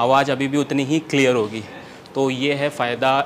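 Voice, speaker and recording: Against light background noise, a man speaks with a monotone, flat intonation. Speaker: fitness vlogger. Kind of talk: casual vlog chat, gear demo. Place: gym. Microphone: lapel.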